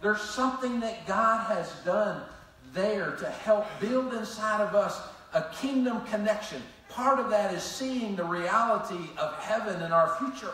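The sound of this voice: A man's high-pitched, slow voice with lively intonation in strong room echo. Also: fairly bright tone.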